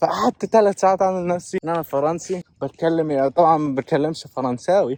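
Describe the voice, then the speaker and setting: The audio is dry and close, without any echo. A man speaks at a moderate pace. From Kuwait and Egypt. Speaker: vlogger. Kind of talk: casual vlog storytelling. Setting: outdoors, walking. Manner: animated.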